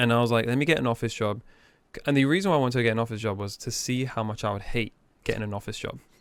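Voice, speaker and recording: On a very clean recording with a silent background, a man talks at a very fast pace and medium pitch with ordinary pitch variation. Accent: English. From England. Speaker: business owner. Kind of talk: casual interview chat.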